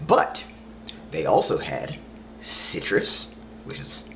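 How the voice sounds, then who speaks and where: Light background noise behind a man talking. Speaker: vlogger. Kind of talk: casual vlog chat. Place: home room. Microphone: camera far.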